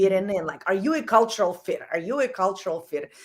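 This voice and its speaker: A woman speaks in an animated tone with a slight non-native accent, her pitch swinging very widely. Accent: slight foreign. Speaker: executive coach. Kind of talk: casual interview.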